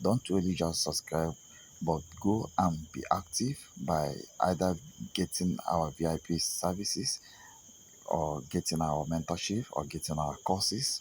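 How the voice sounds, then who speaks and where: A man with a non-native accent talks at a fairly slow pace in a very deep, low pitch, with ordinary pitch variation. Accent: non-native English accent, noticeable. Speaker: trading signal provider. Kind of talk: sales pitch. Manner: halting, many fillers.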